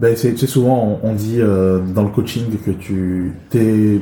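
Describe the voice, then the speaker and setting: A man talks at a fairly low pitch, his tone dark and mellow and somewhat breathy. His intonation stays fairly even. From China, moved to France at 11. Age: 40s. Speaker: improv actor and trainer. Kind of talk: interview.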